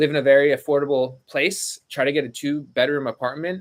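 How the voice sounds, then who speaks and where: The speaker is a man. His pitch is fairly high. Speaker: online reseller and YouTuber. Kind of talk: live stream Q&A. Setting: home studio and storage room. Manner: fast.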